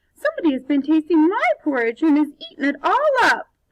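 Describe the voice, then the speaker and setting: A woman puts on a character voice at an extremely high pitch, speaking at a fairly quick pace. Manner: crying out.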